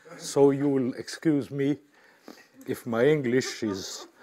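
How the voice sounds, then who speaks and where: A man talks at a very slow pace. His tone is dark and mellow. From France. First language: French. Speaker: mathematician. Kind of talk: lecture. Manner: halting.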